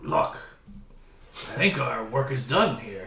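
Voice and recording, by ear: A man uses a put-on character voice, gravelly and raspy, at a medium pitch with very wide pitch swings. He speaks at a very slow pace with slight echo.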